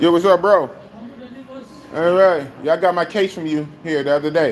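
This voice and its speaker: Noticeable background noise sits behind the voice. The speaker keeps a moderate pace and fairly even intonation. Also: man, high pitch for a man. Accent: American. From Oakland, California, US. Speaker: live streamer. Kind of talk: casual live stream chat.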